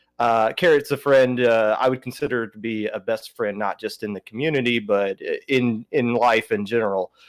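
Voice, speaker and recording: On a very clean recording with a silent background and a dry, close sound with no echo, a man with a Southern US accent speaks at a medium pitch with fairly even intonation, hardly any pauses and big swings in loudness. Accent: southern drawl. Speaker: podcaster and esports team captain. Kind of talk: casual podcast chat. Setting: livestream podcast. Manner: slow; halting, many fillers.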